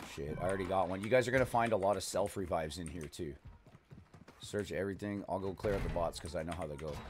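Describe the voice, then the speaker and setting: Over noticeable background noise, a man with a very deep, low pitch talks at a very fast pace with ordinary pitch variation. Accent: slight Canadian. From Canada. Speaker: gaming streamer. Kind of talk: live gameplay commentary. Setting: live stream with voice chat. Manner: animated.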